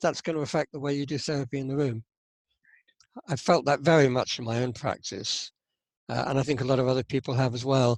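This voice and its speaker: A man with a British accent at a very fast pace, in a dry, close sound with no echo. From UK. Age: 70s. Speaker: psychotherapist. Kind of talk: interview. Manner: halting, with repetitions and fillers.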